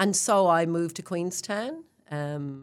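A woman speaks with an Irish accent. The recording is very clean, with a silent background. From Ireland. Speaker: real estate general manager. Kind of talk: interview.

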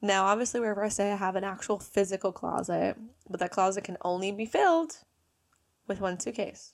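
Animated in tone, a woman talks at a fairly quick pace with medium pitch and ordinary pitch variation. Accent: New Jersey. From New Jersey. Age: 20s. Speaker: podcast host. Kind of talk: casual monologue.

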